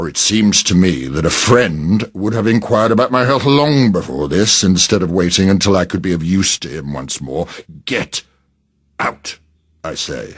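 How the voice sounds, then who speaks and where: Growling in a put-on character voice, a man speaks at a moderate pace with a very deep, low pitch. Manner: growling, irritated.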